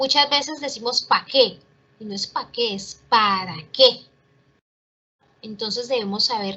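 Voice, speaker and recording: Fairly high female voice with ordinary pitch variation, delivered at a fairly slow pace. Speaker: teacher. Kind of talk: online class.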